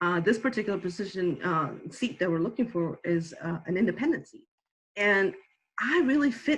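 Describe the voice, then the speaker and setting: A woman with a medium pitch and a somewhat breathy voice speaks at a fairly quick pace. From Bolivia. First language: Spanish or Aymara. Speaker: political candidate. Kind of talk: interview. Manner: hesitant, many fillers.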